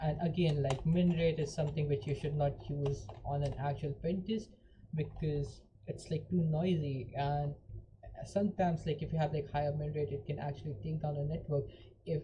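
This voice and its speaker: The tone is dark and mellow, with vocal fry. Intonation stays fairly even at a moderate pace. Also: woman. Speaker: hacking tutorial streamer. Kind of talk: live tutorial. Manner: casual, filler-heavy.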